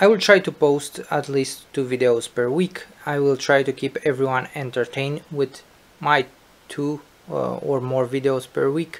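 Speaking with a non-native accent, a man uses fairly even intonation and a fairly high pitch. His pace is moderate. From Bucharest, Romania. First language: Romanian. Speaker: gaming YouTuber and streamer. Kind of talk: channel introduction to camera. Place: home room. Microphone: webcam.

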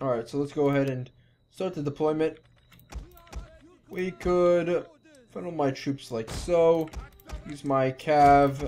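The pace is fairly slow, with long, frequent pauses and noticeable background noise. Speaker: gaming commentator. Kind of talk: let's play commentary. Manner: slurred.

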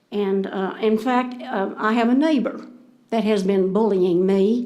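Speaking with a Texan accent, a woman has a dark, mellow tone at a fairly high pitch with ordinary pitch variation. She talks at a fairly slow pace, with audible room echo. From Texas, Denton County. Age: 70s. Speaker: citizen speaking at council meeting. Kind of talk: public comment. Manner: halting.

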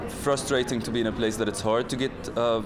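Music plays in the background as a man speaks at a moderate pace in a monotone, flat delivery. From Palestine. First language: Arabic. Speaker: filmmaker, editor and director. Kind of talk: interview answer. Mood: calm, thoughtful. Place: hall.

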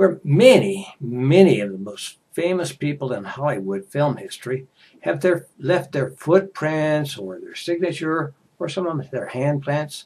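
A man speaks with an American accent at a fairly slow pace, his intonation lively. His voice is somewhat breathy, with big swings in loudness. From United States. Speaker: English teacher. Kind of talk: casual talk to camera for English learners. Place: home room. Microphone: headset.

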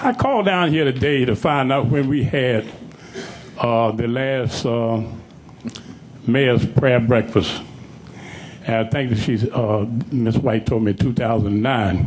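In a room with audible echo and noticeable background noise, a man speaks very slowly with long, frequent pauses, a medium pitch, ordinary pitch variation and very even loudness. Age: 70s. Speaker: public speaker at council meeting. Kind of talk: public comment speech. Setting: council chamber.

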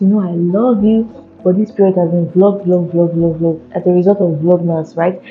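A woman speaks at a moderate pace with fairly even intonation. Faint music plays in the background. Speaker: content creator. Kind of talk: casual vlog chat, product review intro. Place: office. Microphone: lapel.

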